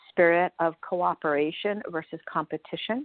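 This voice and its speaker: This woman has an ordinary speaking voice, fairly low in pitch. She talks at a fairly slow pace. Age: 60s. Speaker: spirituality teacher. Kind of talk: radio interview.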